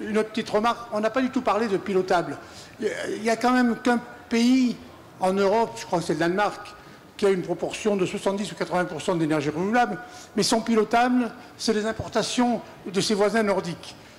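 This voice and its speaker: Fairly quick speech with long, frequent pauses over light background noise. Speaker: audience member. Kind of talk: audience question. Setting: audience at a festival debate. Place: hall.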